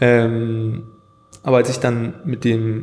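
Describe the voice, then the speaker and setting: Noticeable background noise sits behind this recording. A man with a Scottish accent talks at a medium pitch. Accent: Scottish-tinged German. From Germany (Hanover) and Scotland. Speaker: graphic designer and videographer. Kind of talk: casual interview.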